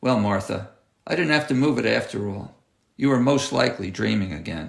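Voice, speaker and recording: In a gravelly put-on character voice, a man talks at a fairly quick pace and fairly low pitch with lively intonation. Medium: read story.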